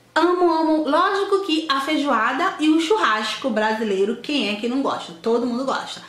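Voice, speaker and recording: A woman speaks at a high pitch with very wide pitch swings. Room echo can be heard. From Salvador, Bahia, Brazil. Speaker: video blogger. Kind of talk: casual vlog, reading questions aloud and answering. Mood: fond, nostalgic, lively. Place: home room. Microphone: camera far.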